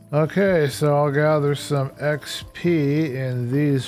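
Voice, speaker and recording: Fairly high-pitched male voice over noticeable background noise. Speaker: gaming streamer. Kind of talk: casual live stream commentary. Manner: soft-spoken. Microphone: microphone far away, too quiet.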